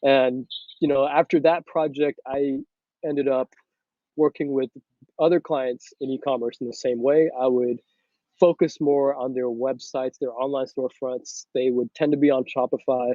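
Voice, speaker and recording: A man speaks in a monotone, flat intonation at a moderate pace. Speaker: entrepreneur and consultant. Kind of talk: casual interview chat.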